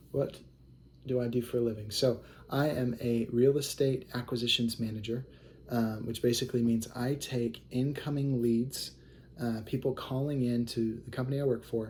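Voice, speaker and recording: A man speaks in a medium pitch at a moderate pace, somewhat breathy, with monotone, flat intonation. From US Midwest (Kansas City, Missouri), partly Hawaii. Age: 20s. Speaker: real estate acquisitions manager and investor. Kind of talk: self-introduction video. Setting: recording to camera. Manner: casual, hesitant with many fillers.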